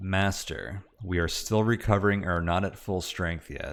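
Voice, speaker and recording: A man uses a put-on character voice, rumbling and very deep in pitch. He speaks at a moderate pace. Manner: respectful, deferential, tired.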